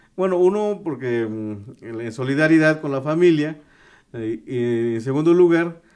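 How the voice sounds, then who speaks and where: This man's voice sits fairly high and swings widely in loudness. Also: fairly slow pace. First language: Tu'un Savi (Mixtec) (speaking Spanish). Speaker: journalist. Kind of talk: interview. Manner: halting, many fillers and restarts.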